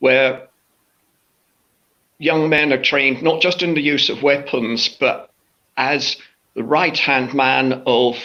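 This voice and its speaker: Here a man with an English accent talks at a very slow pace. His voice sits fairly high and his intonation stays monotone and flat. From southern England, New Forest / Southampton area. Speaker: fantasy author. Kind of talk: interview book chat. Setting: live online chat.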